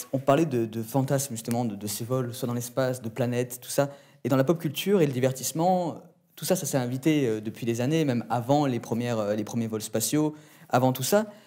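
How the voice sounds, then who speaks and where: A man's dark, mellow tone comes through at a fairly quick pace with ordinary pitch variation. The background is quiet. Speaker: interviewer. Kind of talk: interview questions. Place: studio.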